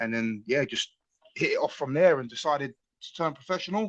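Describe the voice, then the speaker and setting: A fairly high-pitched man with a London accent, at a fairly quick pace. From London, Tottenham. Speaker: mixed martial arts fighter. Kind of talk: interview. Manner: casual, hesitant with fillers.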